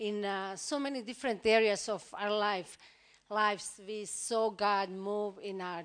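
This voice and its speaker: A woman speaks at a fairly slow pace in a plain, everyday voice. The background is quiet. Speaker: pastor's wife, visiting speaker. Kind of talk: church greeting. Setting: church.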